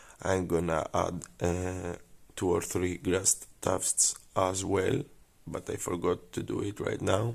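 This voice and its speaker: A very deep, low male voice with a Greek accent and fairly even intonation at a very slow pace, on a very clean recording with a silent background. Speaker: scale modeller. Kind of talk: tutorial. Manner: halting; casual.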